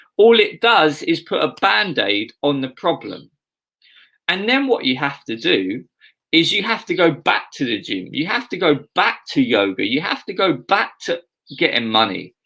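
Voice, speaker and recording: Speaking in an Essex accent at a moderate pace, a man uses a fairly high pitch with very wide pitch swings, vocal fry and a bright, sharp tone. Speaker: pastor. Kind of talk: sermon.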